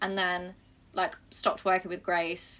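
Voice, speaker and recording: A bright, sharp tone comes through at a fairly slow pace. The recording is very clean, with a silent background. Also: woman. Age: 20s. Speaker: podcast host. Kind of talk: casual chat. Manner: animated.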